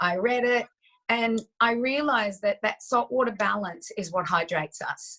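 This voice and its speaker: Bright, sharp tone from a woman with a fairly high pitch, ordinary pitch variation and a moderate pace. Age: 60s. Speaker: health expert. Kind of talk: interview. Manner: animated.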